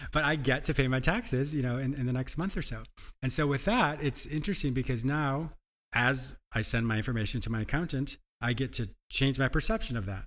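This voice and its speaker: A man with a medium-pitched voice speaks enthusiastically at a fairly quick pace, with ordinary pitch variation, on a very clean recording with a silent background. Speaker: podcast host and psychotherapist. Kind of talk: interview and self-help talk. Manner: fast talker; enthusiastic, laughs often.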